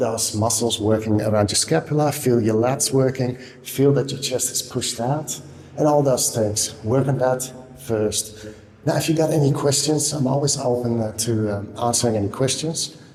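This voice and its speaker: Over noticeable background noise, a man speaks at a moderate pace and medium pitch with ordinary pitch variation. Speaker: kettlebell coach. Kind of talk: tutorial. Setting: indoor room. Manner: quiet, subdued. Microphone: room echo.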